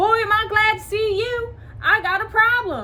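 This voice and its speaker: A woman uses a squeaky, put-on character voice at an extremely high pitch. She talks at a moderate pace over clear background noise. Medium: read story.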